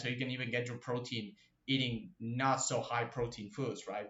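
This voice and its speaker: This man has a Spanish accent and a medium pitch. He speaks at a moderate pace. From Argentina. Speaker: fitness YouTuber. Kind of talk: casual tutorial. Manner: hesitant, many fillers.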